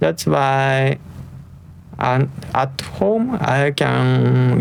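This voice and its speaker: A man speaks over noticeable background noise. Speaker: tech reviewer. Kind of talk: product review. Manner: soft-spoken; halting.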